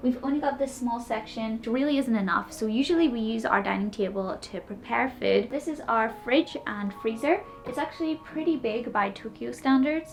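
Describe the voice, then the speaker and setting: A woman speaks with an Irish accent in a high voice, at a fairly quick pace. Her pitch varies in an ordinary way, with music playing behind her. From Ireland. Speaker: cosplayer, model and streamer. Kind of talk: apartment tour vlog. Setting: indoors at home.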